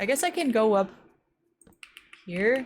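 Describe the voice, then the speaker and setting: A woman with an American accent speaks at a fairly slow pace with lively intonation. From US West Coast. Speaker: vtuber streamer. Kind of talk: casual live-stream chat while gaming. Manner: casual, filler-heavy.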